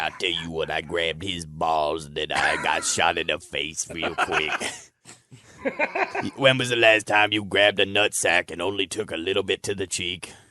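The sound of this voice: A raspy, put-on character voice in a Southern accent. It moves at a moderate pace. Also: man, very deep, low pitch for a man.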